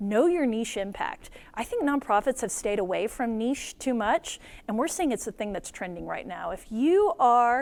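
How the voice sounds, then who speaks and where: A high-pitched woman's voice with lively intonation, on a very clean recording against a silent background. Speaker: nonprofit media co-founder and conference speaker. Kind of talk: conference keynote talk. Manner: fast; animated.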